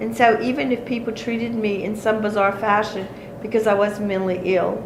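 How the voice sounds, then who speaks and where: A woman with a Cajun accent speaks at a fairly high pitch and a moderate pace, with ordinary pitch variation. Noticeable background noise and audible room echo fill the recording. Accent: Cajun Louisiana English. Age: 60s. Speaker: folk healer. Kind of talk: interview.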